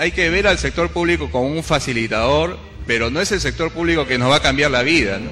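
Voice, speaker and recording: A man speaks fairly quickly while noticeable background noise continues. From Peru, Cañete. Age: young. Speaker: engineer and political hopeful. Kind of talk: interview.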